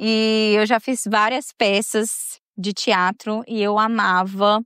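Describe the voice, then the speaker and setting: A woman with a Minas Gerais accent speaks at medium pitch in a bright, sharp tone with fairly even intonation. The sound is dry and close with no echo, over a quiet background. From Minas Gerais, Brazil (São João do Oriente). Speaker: podcast host and storyteller. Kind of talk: casual personal monologue. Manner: chatty, conversational.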